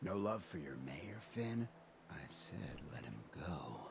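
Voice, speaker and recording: Over clear background noise, a man uses a put-on character voice pitched very deep and low, talking at a fairly slow pace. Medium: video game. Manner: laid-back, streetwise drawl.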